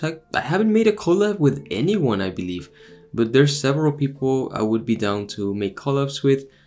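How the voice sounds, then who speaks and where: Music plays behind a man whose fairly high voice keeps a moderate pace. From Texas, Mexican American family. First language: Spanish. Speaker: YouTuber, former Jehovah's Witness. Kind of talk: casual Q&A monologue. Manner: animated, frequent fillers.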